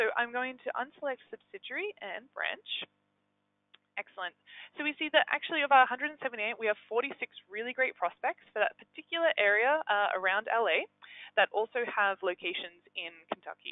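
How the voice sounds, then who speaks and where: Speaking at a fairly quick pace with an Australian accent, a woman uses a high pitch with very wide pitch swings. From Australia, Melbourne. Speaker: engagement manager at a software company. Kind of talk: software webinar demo. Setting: live webinar. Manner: hesitant, many fillers.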